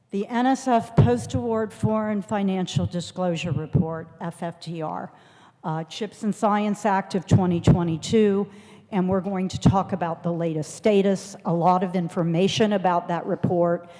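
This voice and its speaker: A woman's medium-pitched, normal speaking voice at a moderate pace, with ordinary pitch variation. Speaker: federal agency official presenting policy updates. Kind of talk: conference presentation.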